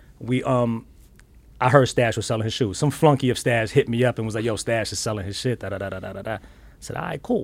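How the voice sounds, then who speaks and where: Talking at a very fast pace, a man with a New York accent uses a medium pitch and big swings in loudness. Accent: New York (Bronx). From New York, South Bronx. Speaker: sneaker collector. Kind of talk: casual chat. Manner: animated.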